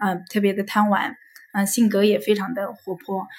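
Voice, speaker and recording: Fairly high pitch and a slightly breathy quality from a woman. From Hefei, Anhui, China. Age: 30s. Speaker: staff at a psychology counseling center. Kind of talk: interview sharing life story. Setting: recorded at a psychology center office. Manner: hesitant with many fillers.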